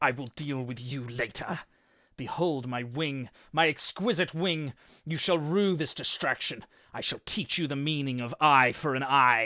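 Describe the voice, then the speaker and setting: At a moderate pace, a man puts on a character voice with a fairly high pitch. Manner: menacing, vengeful.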